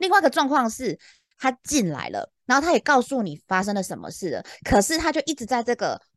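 Animated and fairly quick, a woman speaks at a high pitch with very wide swings, in a dry, close sound with no echo. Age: middle-aged. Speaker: podcast co-host, customer service veteran. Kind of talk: casual chat.

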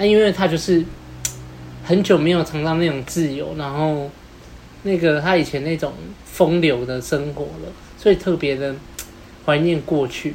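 The speech moves at a moderate pace, broken by long, frequent pauses. Noticeable background noise runs underneath. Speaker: podcast co-host. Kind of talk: casual chat.

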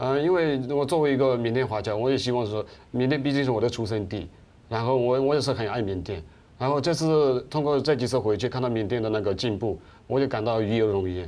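A man talks very fast at a medium pitch, with a dark, mellow tone and ordinary pitch variation. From Myanmar, Kachin State (Myitkyina), ethnic Chinese. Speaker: writer. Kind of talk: political discussion. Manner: halting, repeats words.

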